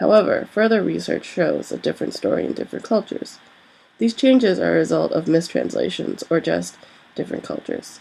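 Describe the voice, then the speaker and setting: A woman with an American accent talks fairly quickly. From US. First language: Korean. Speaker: student. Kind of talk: reading aloud.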